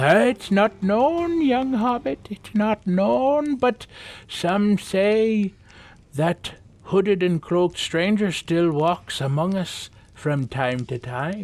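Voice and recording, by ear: A man's put-on character voice, high-pitched and slightly mellow in tone, slow in pace with lively intonation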